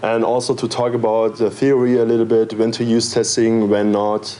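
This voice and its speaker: A man speaks at a fairly slow pace with a medium pitch and a flat, monotone delivery. Noticeable background noise runs under his voice. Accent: German. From Germany (Berlin). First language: German. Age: 20s. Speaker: software developer and conference speaker. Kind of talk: conference talk. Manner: hesitant, with filler words.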